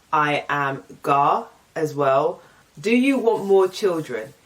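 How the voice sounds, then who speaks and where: Very slowly, a woman with an English accent and a fairly low voice speaks, her pitch swinging very widely. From England. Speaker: YouTuber. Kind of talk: casual vlog Q&A. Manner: casual, chatty.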